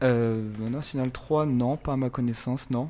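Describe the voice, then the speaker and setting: This man's medium-pitched voice carries a monotone, flat intonation. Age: 30s. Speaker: footballer. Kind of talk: casual interview.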